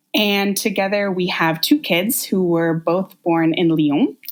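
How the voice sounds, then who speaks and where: Speaking at a fairly slow pace, a woman with a West Coast US accent has a fairly low pitch. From US Pacific Northwest, Portland, Oregon. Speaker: podcast guest sharing birth stories. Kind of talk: casual interview storytelling.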